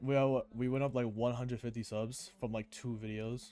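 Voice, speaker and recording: Fairly even intonation marks this man's medium-pitched voice, which has a dark, mellow tone. He keeps a moderate pace. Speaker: gaming YouTuber. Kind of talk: gameplay commentary. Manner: stuttering, halting.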